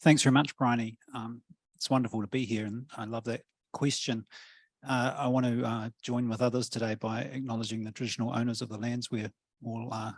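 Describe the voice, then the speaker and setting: Monotone and flat, a man with a New Zealand accent talks fairly quickly at medium pitch, the sound dry and close with no echo. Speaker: professor. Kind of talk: panel discussion. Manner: hesitant, many fillers.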